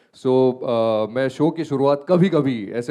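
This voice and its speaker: A man's dark, mellow tone at a medium pitch. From Gujarat, India. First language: Gujarati (speaking Hindi). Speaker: radio host. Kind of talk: panel discussion.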